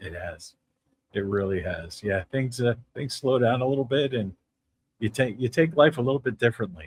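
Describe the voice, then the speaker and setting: In a New Jersey accent, a man speaks at a medium pitch with lively intonation and a somewhat breathy quality. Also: moderate pace. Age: 60s. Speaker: podcast host. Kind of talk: interview.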